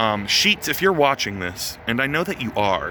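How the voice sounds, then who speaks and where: Very wide pitch swings at a moderate pace over noticeable background noise. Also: man. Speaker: touring musician vlogger. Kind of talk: casual vlog. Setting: outdoors by a venue. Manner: filler-heavy, stammering.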